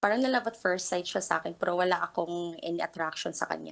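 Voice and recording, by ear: A woman speaks fast with a fairly bright tone, a fairly low pitch, ordinary pitch variation and some vocal fry.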